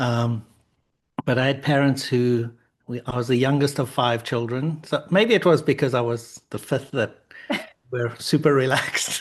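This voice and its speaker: Speaking with a South African accent, a man keeps a moderate pace and a medium pitch. His intonation is fairly even, and the background is quiet. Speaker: author and founder. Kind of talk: interview.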